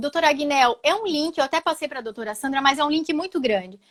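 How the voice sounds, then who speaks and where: A woman speaks in an animated tone with ordinary pitch variation. The sound is dry and close, with no echo. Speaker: social security lawyer. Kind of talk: live webinar discussion.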